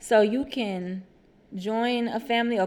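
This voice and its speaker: A woman speaks with an American accent. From Houston, Texas (Acres Homes). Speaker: podcast co-host. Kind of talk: casual chat. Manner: animated.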